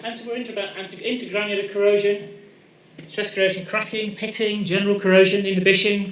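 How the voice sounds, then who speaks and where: A man speaks at a high pitch and a fairly quick pace. Audible room echo and noticeable background noise accompany him. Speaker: professor. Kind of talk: lecture. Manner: loud.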